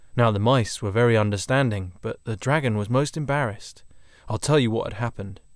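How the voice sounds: A natural reading voice, its pitch moving in the usual way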